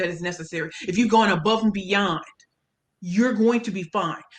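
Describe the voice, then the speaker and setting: Speaking in a St. Louis accent, a woman talks at a fairly quick pace in an animated tone. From US Midwest, St. Louis, Missouri. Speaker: pitch coach and speaker. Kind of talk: interview.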